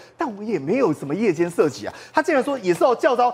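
Talking at a very fast pace, a man with an extremely high pitch swings his voice very widely up and down. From Taiwan. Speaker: political commentator; talk-show guest commentator. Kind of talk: TV talk show panel discussion. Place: studio. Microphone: lapel.

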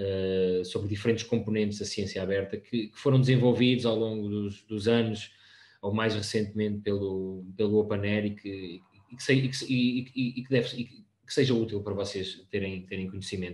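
A man at a moderate pace, fairly low in pitch, with fairly even intonation. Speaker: open science project staff; presenter. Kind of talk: presentation. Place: home room. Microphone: video call.

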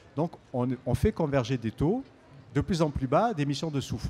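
A man talks at a moderate pace with lively intonation and a dark, mellow tone. Light background noise can be heard. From Marseille, southern France. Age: 60s. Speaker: EU official; speaker. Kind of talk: public debate. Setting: outdoor stage with audience. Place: street. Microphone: handheld.

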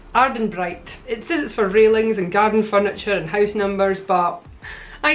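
At a moderate pace, a woman speaks with faint music in the background. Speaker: DIY vlogger. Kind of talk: tutorial. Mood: cheerful, chatty. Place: home room.

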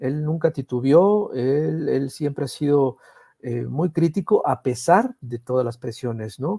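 Over a quiet background, a man with a fairly high, dark, mellow, somewhat breathy voice speaks very slowly with ordinary pitch variation. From Veracruz, Mexico. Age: middle-aged. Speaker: political cartoonist; guest. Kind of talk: conversational interview. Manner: halting, many repetitions. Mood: warm, reflective tribute. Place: home room. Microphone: earbuds.

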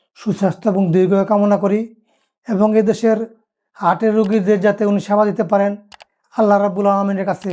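Very clean and silent in the background, this recording has a high-pitched man speaking in a dark, mellow tone with monotone, flat intonation. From Bangladesh, Narsingdi district. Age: 50s. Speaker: heart patient, former local council chairman. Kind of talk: patient testimonial. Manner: halting.

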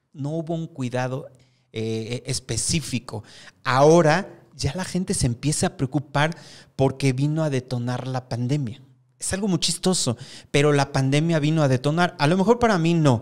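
Over a quiet background, a man with a fairly high pitch speaks at a moderate pace with ordinary pitch variation. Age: 50s. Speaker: hair stylist and salon owner; guest. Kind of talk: interview. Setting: studio. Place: studio. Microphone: studio mic.

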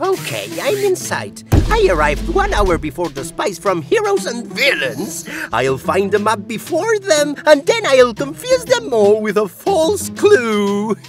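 Clear music plays in the background. A cartoonish character voice speaks at a fairly slow pace. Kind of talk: cartoon voice acting. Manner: boastful, scheming.

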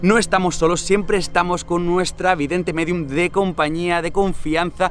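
Over light background noise, a man talks at a moderate pace in a high, monotone voice with flat intonation. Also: dry sound with no echo. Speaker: paranormal vlogger. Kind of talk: casual vlog intro to camera. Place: street.

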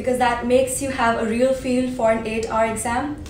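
There is light background noise and audible room echo as a woman speaks. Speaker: exam prep vlogger. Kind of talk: tutorial. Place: home room.

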